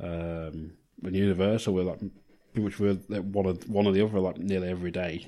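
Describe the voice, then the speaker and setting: Here a man with an English accent speaks at a fairly quick pace. His very deep, low voice stays monotone and flat. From Blackpool, northern England. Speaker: podcast co-host. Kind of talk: casual chat.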